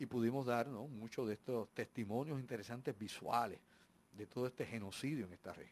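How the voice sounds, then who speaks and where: A man with an ordinary speaking voice at a medium pitch, with big swings in loudness. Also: fairly even intonation, fairly quick pace. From Puerto Rico and US. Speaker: radio host. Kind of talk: live radio talk show. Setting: radio studio.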